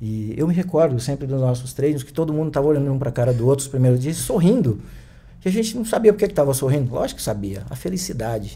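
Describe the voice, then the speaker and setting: This man talks very fast in a somewhat breathy voice. His pitch is fairly high, with a dark, mellow tone. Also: lively intonation. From Brazil, Piauí (Picos). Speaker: kung fu teacher. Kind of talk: interview conversation.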